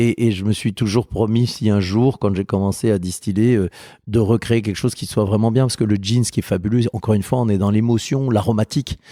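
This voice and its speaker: A man with a fairly low pitch and dark, mellow tone, fairly even intonation and fairly quick pace, on a very clean recording with a silent background, dry and close with no echo. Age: 50s. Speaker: spirits producer. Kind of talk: interview. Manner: hesitant, repetitive.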